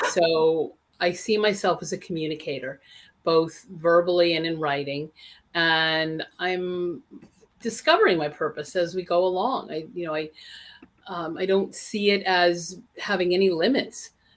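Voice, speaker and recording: Speaking at a fairly slow pace, a woman has an unremarkable speaking voice with fairly low pitch and ordinary pitch variation. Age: 60s. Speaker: interfaith minister and author. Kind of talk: interview.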